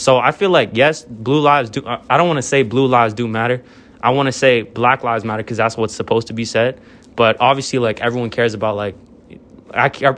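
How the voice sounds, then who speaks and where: A very fast-talking man at a medium pitch, his intonation fairly even. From northern Virginia, US. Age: 20s. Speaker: college student. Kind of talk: casual discussion. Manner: halting, stumbles over words.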